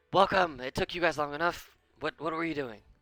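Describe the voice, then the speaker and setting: Putting on a raspy character voice, a man talks at a fairly quick pace and fairly high pitch, in a dry, close sound with no echo. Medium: actual play. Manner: warm and friendly.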